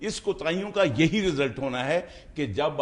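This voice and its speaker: A man is speaking. His voice has vocal fry. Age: 70s. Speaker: political talk show panelist. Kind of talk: heated debate. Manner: halting.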